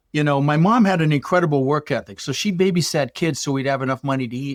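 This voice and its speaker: In a General American accent, a man talks at a very fast pace, and the sound is dry and close with no echo. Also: very clean recording, silent background. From Colorado, US (Dutch-born). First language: Dutch. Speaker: real estate investor. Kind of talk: podcast interview. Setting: podcast. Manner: animated.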